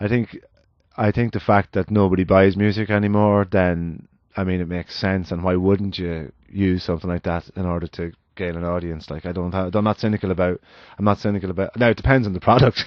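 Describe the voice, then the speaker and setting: A man with an Irish accent talks at a fairly quick pace. His very deep, low voice keeps a fairly even intonation. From Ireland. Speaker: musician. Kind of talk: casual podcast conversation. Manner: halting, many restarts.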